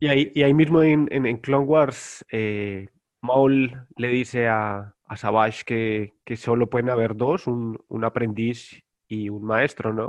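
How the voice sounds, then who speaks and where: A man talks very slowly, his medium pitch rising and falling in an ordinary way. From Colombia, Bogotá. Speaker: guest, Star Wars collector. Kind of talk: casual chat.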